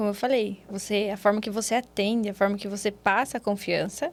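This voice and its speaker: The speaker is a woman. She talks with a Paraná accent. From Brazil, Paraná. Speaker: physiotherapist. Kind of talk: interview.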